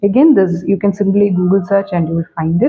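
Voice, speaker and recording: This is a woman speaking. She has a Keralan accent. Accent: Indian (Malayali) English. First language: Malayalam. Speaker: English language teacher. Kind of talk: tutorial. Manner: hesitant, many fillers.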